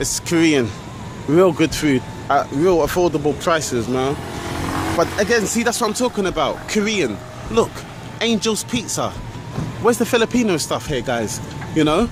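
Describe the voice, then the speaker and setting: Amid noticeable background noise, a man with a high voice swings very widely in pitch at a moderate pace, pausing long and often. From London, England. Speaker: travel vlogger. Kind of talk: walking vlog narration. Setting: outdoors, walking city streets. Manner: casual, rambling street talk.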